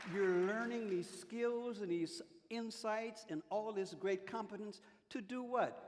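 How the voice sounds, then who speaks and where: Crowd noise fills the background as a man speaks at a fairly slow pace. His voice is high in pitch, with ordinary variation. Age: 70s. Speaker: civil rights veteran, panelist. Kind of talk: panel discussion. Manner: animated.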